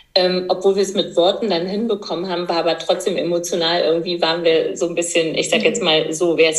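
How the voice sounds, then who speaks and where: A woman speaks at a fairly low pitch with fairly even intonation. The room echo is audible, and background noise is noticeable. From eastern Germany. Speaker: midwife and entrepreneur. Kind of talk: casual interview.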